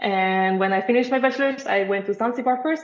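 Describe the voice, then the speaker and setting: A woman in a Dutch accent speaks at a fairly quick pace with ordinary pitch variation. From Netherlands. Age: 20s. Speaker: marine biologist. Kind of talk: podcast interview.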